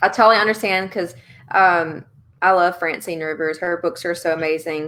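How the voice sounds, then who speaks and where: A woman with a strong Louisiana accent speaks at a moderate pace in a fairly low, bright, sharp voice. Her intonation is fairly even, and the recording is very clean with a silent background. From Louisiana, central (Alexandria area). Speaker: author interviewer, book group founder. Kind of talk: live video chat interview.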